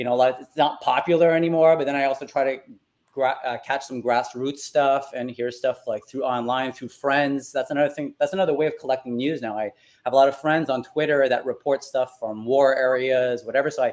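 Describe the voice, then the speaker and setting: In a French accent, a man talks at a fairly quick pace. His pitch is fairly high and his intonation fairly even. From Quebec. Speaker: NFT artist. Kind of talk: interview.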